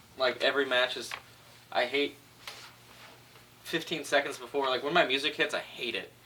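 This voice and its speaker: Against noticeable background noise, a man with a fairly high pitch speaks at a moderate pace. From California, Orange County. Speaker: pro wrestler. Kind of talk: interview.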